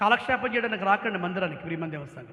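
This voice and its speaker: Raised and projected, a man's high voice carries an animated tone with ordinary pitch variation. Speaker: pastor. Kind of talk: sermon. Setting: church. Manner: loud.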